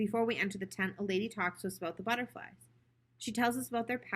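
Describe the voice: Someone reads a passage aloud. It is plain reading aloud.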